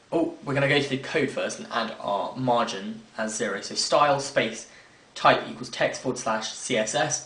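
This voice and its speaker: With audible room echo and noticeable background noise, a man speaks at a fairly slow pace with lively intonation. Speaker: software tutorial maker. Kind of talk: screen-recorded tutorial.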